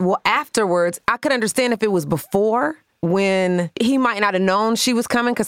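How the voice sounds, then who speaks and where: An ordinary speaking voice moves at a fairly quick pace with hardly any pauses and very even loudness. The pitch varies in an ordinary way, and the sound is dry and close with no echo. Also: woman. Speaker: podcast co-host. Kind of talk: casual chat with relationship advice.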